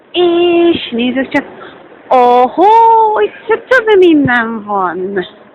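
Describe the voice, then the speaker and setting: A high-pitched woman's voice at a very slow pace, with very wide pitch swings and noticeable background noise. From Hungary. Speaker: vlogger. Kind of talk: casual vlog with street interviews. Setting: metro station.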